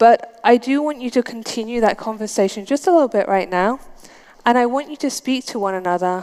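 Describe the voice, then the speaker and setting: Ordinary pitch variation from a woman, her pace fairly quick. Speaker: conference speaker. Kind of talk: conference talk. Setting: stage with audience. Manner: interactive, addressing audience.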